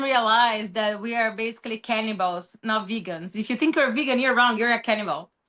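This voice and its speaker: A woman's bright, sharp voice with a Brazilian accent and ordinary pitch variation, against a quiet background. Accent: Brazilian accent, noticeable. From Brazil, São Paulo. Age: 30s. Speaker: social media commentator. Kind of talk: interview. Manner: halting.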